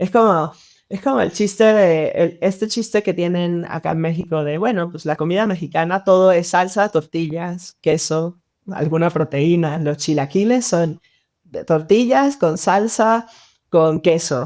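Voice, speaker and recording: A woman speaks fairly slowly in an unremarkable speaking voice, her fairly low pitch moving with ordinary variation. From Venezuela, Mérida. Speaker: designer. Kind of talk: podcast interview.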